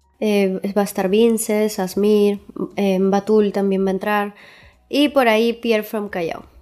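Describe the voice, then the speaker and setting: Music plays in the background as a woman speaks at a fairly slow pace. Her medium-pitched voice has fairly even intonation. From Peru, Huaraz. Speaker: reggaeton singer. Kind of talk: interview.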